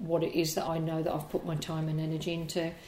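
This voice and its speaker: With a fairly low pitch, a woman's voice comes through noticeable background noise. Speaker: hairdresser and educator. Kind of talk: interview.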